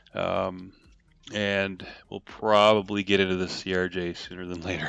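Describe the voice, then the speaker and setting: A man mumbles in a very deep, low pitch. His intonation is monotone and flat. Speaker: flight sim streamer. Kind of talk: live stream commentary. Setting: live stream with game audio. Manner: mumbling; halting, many fillers.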